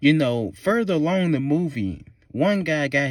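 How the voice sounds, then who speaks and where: Recorded very cleanly with a silent background, a man with a Southern US accent talks in an animated tone. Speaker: movie reviewer. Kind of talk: rant.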